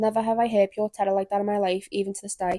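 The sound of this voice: A woman speaks very fast at a medium pitch with little pitch movement. Her tone is dark and mellow.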